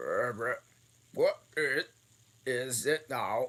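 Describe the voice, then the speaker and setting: A man puts on a hoarse character voice. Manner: depressed.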